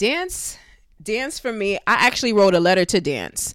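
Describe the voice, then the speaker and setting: In a New York accent, a woman speaks very slowly at a medium pitch with very wide pitch swings. The recording is very clean, with a silent background. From Brooklyn, New York. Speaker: dance teacher. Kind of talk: casual chat.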